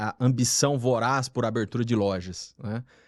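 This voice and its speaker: A man speaks with a Paraná accent. His pace is fairly slow. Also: very clean recording, silent background. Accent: Paraná accent, rolled R. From Paraná, Brazil. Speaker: retail management specialist. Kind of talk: podcast interview.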